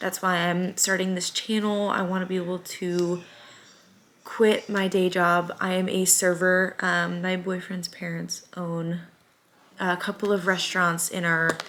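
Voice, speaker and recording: Speaking fairly slowly with an American accent, a woman keeps her intonation monotone and flat. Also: medium pitch for a woman. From US Midwest, Springfield, Missouri. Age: 20s. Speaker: small business owner and vlogger. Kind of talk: casual vlog chat. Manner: casual, many filler ums.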